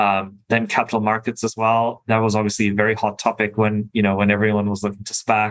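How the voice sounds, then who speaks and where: Very fast, monotone delivery with a German accent on a very clean recording with a silent background. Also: man. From Germany, Berlin. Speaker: venture capital investor. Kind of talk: interview; business presentation. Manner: halting, many fillers.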